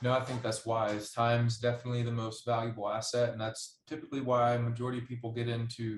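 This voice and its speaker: A man's somewhat breathy, medium-pitched voice at a fairly quick pace with monotone, flat intonation. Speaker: podcast host. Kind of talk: podcast interview host talk.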